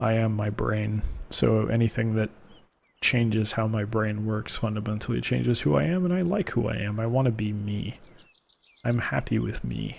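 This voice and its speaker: Soft-spoken and relaxed in tone, a man talks at a moderate pace with lively intonation. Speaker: gaming video creator. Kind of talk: gameplay commentary. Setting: home recording, late at night. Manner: soft-spoken, quiet; relaxed, low energy. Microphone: close to the mic.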